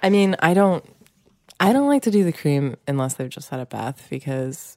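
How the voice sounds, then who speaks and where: Dry and close with no echo, a woman's voice moves at a fairly quick pace with lively intonation. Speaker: podcast co-host, comedian and parent. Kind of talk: casual comedic banter between spouses. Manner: laughing, wry, conversational.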